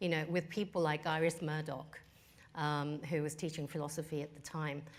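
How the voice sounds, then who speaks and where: A woman with a Japanese accent speaks at a moderate pace, her pitch very deep and low with ordinary variation. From Australia and England, Japanese family. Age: 50s. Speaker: business executive. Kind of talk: interview.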